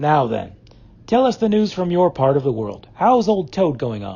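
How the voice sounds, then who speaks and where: Putting on a character voice, a man speaks at a moderate pace, fairly high in pitch and swinging very widely up and down. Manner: hearty.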